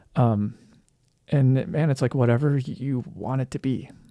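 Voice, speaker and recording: Recorded very cleanly against a silent background, a man's dark, mellow tone comes through dry and close with no echo. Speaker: musician and music producer. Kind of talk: casual commentary. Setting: self-recorded audio. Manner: hesitant, many fillers.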